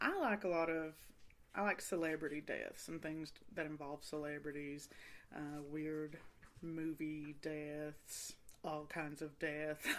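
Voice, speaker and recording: In a Kentucky accent, the speaker talks at a very slow pace with monotone, flat intonation. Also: woman, very deep, low pitch for a woman. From Eastern Kentucky. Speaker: podcast host. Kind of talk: casual chat. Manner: rambling.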